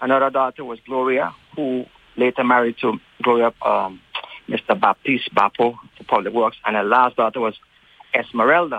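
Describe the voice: A man at medium pitch and moderate pace, his intonation fairly even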